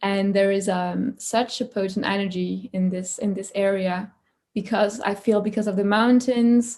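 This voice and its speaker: A dark, mellow voice, somewhat breathy, speaks in a flat monotone at a moderate pace. The recording is very clean with a silent background. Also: woman, medium pitch for a woman. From France, Paris. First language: French. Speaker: creativity coach and musician. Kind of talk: interview conversation. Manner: halting, many fillers.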